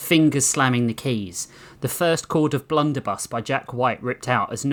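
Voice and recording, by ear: The text is read aloud in a natural voice.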